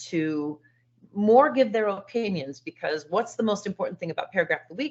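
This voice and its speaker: A woman's unremarkable speaking voice at medium pitch, with lively intonation. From California. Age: 60s. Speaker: teacher. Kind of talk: online presentation.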